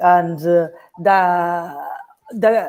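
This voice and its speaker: This woman has a medium pitch and speaks with a Peruvian accent. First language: Spanish. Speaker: film director. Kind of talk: Q&A interview. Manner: halting.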